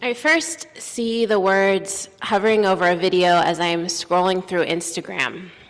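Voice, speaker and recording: Hardly pausing, a woman speaks at a fairly slow pace. Her loudness stays very even against noticeable background noise. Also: medium pitch for a woman, ordinary pitch variation. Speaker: minister / preacher. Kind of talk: sermon delivered from a pulpit.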